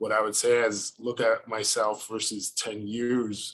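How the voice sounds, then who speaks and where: A man speaks in a fairly low pitch. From US Northeast, the Bronx, New York. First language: Spanish. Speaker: media executive. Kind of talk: interview. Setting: video call.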